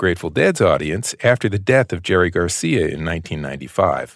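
A man with an American accent at a very fast pace, with ordinary pitch variation. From United States. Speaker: podcast host and interviewer. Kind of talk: scripted narration mixed with interview.

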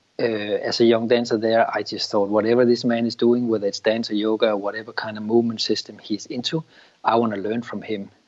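With a Danish accent, a man rattles along at a very fast pace in a monotone, flat intonation. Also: medium pitch for a man. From Denmark. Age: 50s. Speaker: yoga teacher and former dancer.

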